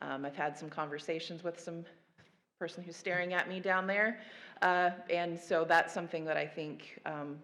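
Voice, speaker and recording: In a room with audible echo, a woman talks at a moderate pace in a fairly low pitch with fairly even intonation. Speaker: federal agency panelist. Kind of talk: conference panel presentation.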